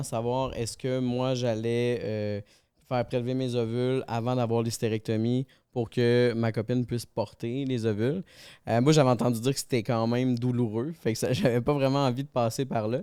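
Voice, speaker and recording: Medium-pitched male voice with a dark, mellow tone, moderate pace and fairly even intonation, in a very clean recording with a silent background. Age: 30s. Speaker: podcast guest. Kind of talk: podcast conversation.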